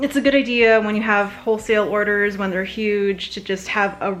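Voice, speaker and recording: Music plays in the background as a woman speaks at a medium pitch. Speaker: small business owner making soap and bath bombs. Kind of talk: casual unboxing vlog. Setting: at home, living room. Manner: fast.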